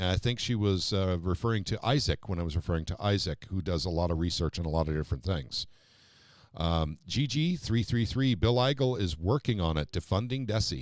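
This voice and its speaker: In a very clean recording with a silent background, a man with an American accent speaks fairly quickly in a very deep, low voice, his intonation lively and his loudness very even. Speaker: political talk show host. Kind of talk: live-stream political talk show. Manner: fast.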